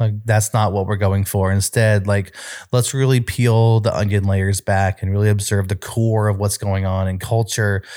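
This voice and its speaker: In a very clean recording with a silent background, a man speaks at a moderate pace with a fairly low pitch, a dark, mellow tone and monotone, flat intonation. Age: 30s. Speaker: youth ministry leader. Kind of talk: casual chat.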